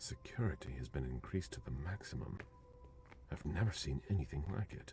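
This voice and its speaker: Over clear background music, a man performs a put-on character voice at a fairly quick pace. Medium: video game. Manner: terse, authoritative.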